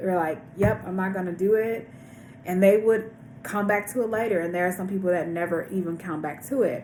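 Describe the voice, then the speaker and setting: At a fairly quick pace and with ordinary pitch variation, the speech carries audible room echo and noticeable background noise. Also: woman, medium pitch for a woman. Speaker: vlogger sharing weight loss surgery journey. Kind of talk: casual vlog monologue.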